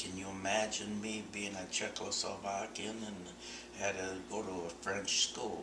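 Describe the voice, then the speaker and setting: There is audible room echo and noticeable background noise. Through it, a man talks in a fairly low voice. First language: Czech. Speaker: oral history interviewee. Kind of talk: oral history interview. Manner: halting.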